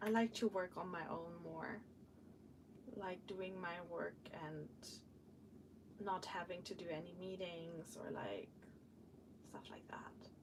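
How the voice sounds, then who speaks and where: Delivery is very slow, broken by long pauses that come often. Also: woman. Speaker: vlogger / live streamer. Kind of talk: casual work-along live stream chat. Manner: chatty, hesitant with many fillers.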